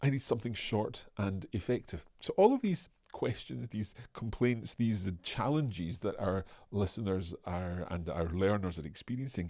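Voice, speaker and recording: Lively intonation marks a man's fairly low, dark and mellow voice, delivered at a moderate pace. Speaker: language teacher. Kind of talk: live online lesson. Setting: live stream. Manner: hesitant fillers.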